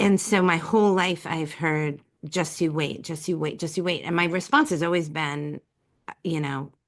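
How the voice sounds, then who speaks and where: A woman speaks in a plain, everyday voice, fairly low in pitch, at a moderate pace. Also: fairly even intonation. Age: 50s. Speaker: writer, speaker and coach. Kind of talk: podcast interview. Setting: call.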